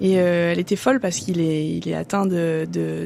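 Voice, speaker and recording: At a fairly quick pace, a woman speaks with a fairly low pitch and a dark, mellow tone. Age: 20s. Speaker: business school student. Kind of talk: podcast testimony. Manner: hesitant, many fillers.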